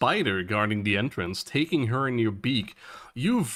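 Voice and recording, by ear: The intonation here is lively. It comes from reading aloud in a natural voice.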